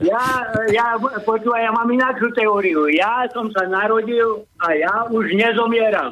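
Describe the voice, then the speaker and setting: Projecting his voice at a very even loudness, a man speaks fairly slowly at a high pitch with fairly even intonation. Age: 60s. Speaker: caller. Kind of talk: casual chat.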